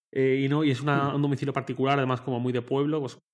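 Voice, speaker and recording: A man is speaking here. His pace is very fast. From Spain, Torrent (Valencia). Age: 20s. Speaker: tech journalist. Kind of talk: casual chat.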